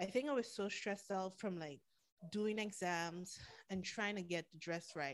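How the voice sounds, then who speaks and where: A woman with a Caribbean accent at a moderate pace, medium in pitch with ordinary pitch variation. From Caribbean, St. Martin. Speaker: podcaster. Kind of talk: casual chat. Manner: animated.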